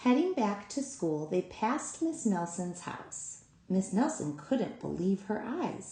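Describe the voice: Simple, plain reading aloud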